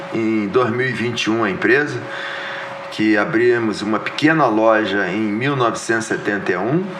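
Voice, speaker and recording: Amid noticeable background noise and audible room echo, a man talks at a fairly slow pace with ordinary pitch variation. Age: 60s. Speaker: businessman and former politician. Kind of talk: interview podcast.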